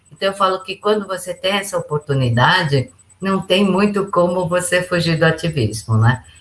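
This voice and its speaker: A woman's medium-pitched voice with vocal fry and lively intonation. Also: moderate pace. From Brazil. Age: 60s. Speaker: businesswoman and international relations advisor. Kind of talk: podcast interview.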